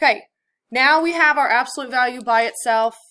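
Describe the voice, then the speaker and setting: A woman speaks at a moderate pace. Her tone is bright and sharp. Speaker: math teacher. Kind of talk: lecture.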